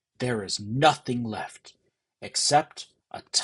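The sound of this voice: Over a quiet background, pitch moves in an ordinary way through an unforced reading voice.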